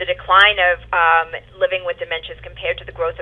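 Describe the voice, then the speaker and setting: A woman talks with a New York accent. She speaks at a very fast pace. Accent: New York accent, still noticeable. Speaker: home care operations director. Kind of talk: webinar presentation. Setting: webinar.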